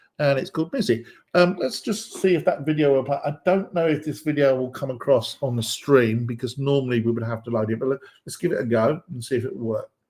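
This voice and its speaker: Somewhat breathy and very fast, a man with an American accent speaks at a fairly high pitch with ordinary pitch variation. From England (London, Midlands, home counties). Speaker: developer advocate / webinar host. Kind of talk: live tech presentation. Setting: live stream. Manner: hesitant, many fillers (um, uh).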